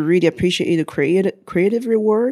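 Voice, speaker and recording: A woman speaks with a Chinese accent and a dark, mellow tone. Her pitch varies in an ordinary way. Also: very clean recording, silent background. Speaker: XR entrepreneur. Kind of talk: interview conversation.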